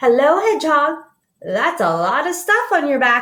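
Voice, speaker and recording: A woman's croaky, put-on character voice, high in pitch, at a moderate pace. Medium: read story.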